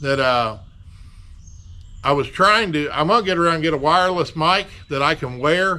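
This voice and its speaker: Loud, bright and sharp in tone, a man with a fairly high pitch speaks at a moderate pace with ordinary pitch variation and long, frequent pauses. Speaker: DIY auto body repair YouTuber. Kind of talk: casual workshop tutorial. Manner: loud, projecting to reach camera mic.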